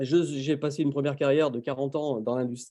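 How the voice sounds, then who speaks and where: A man's fairly high-pitched voice with a dark, mellow tone, at a fairly quick pace. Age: 60s. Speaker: professional coach and webinar presenter. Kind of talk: webinar presentation. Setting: video call webinar.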